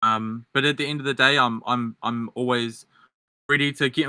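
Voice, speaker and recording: A man speaks at a medium pitch with a strong New Zealand accent, his intonation flat and monotone. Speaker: debate candidate. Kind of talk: political debate. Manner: halting.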